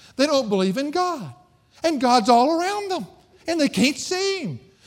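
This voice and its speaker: The recording is very clean with a silent background. A man speaks at a moderate pace with very wide pitch swings. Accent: Southern US. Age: 50s. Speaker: pastor. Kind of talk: sermon.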